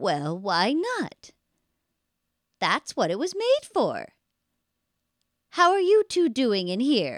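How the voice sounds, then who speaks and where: A female-sounding voice puts on a character at a high pitch, going at a very slow pace with long, frequent pauses. The recording is very clean, with a silent background. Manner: sinister, sweet-sounding.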